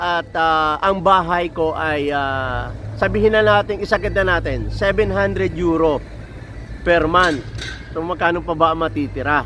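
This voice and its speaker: A man talks fairly slowly while noticeable background noise fills the recording. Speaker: truck mechanic and vlogger. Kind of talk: casual vlog monologue. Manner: halting, many fillers.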